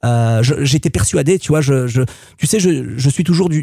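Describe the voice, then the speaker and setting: A man's dark, mellow tone with lively intonation at a moderate pace, in a dry, close sound with no echo. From Marseille, southern France. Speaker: music producer and DJ. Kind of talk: interview testimony. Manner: halting, many fillers and repetitions.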